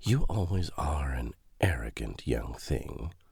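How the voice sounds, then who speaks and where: A man puts on a character voice that is raspy and very deep, low in pitch. He speaks at a fairly slow pace with very wide pitch swings. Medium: read story. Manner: sly, mocking.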